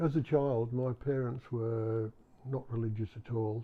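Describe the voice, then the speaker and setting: A somewhat breathy, medium-pitched male voice with an English accent. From England. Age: 70s. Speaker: retired clergyman, former soldier. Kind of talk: interview testimony. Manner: halting.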